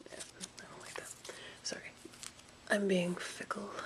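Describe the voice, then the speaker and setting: Noticeable background noise runs throughout. Over it, a woman whispers. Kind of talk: craft tutorial to camera. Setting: home recording with some sound glitches. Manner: soft-spoken.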